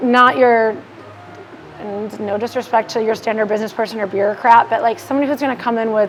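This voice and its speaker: A fairly high-pitched woman at a fairly quick pace, with ordinary pitch variation and noticeable background noise. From Milwaukee, Wisconsin. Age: young. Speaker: social media marketing business owner. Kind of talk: casual chat. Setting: bar. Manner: fast.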